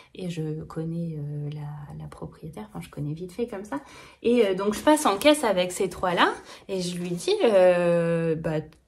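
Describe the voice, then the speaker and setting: A woman's somewhat breathy voice in a slight Norman accent, fairly low in pitch, with lively intonation, a fairly slow pace and big swings in loudness. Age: 30s. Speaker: knitting vlogger. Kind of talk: casual vlog chat. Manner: hesitant, many fillers.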